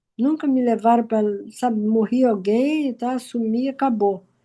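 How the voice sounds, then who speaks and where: In a quiet background, a woman speaks with a dark, mellow tone. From Brazil, Rio de Janeiro. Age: 80s+. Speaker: participant in a group conversation. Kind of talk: personal sharing in online group talk. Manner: halting, with many repetitions.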